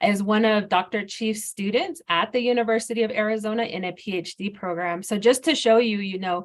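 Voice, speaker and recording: A woman with an American accent speaks in a normal speaking voice at a fairly high pitch. She moves at a fairly quick pace with hardly any pauses and ordinary pitch variation. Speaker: hydrologist. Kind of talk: webinar presentation.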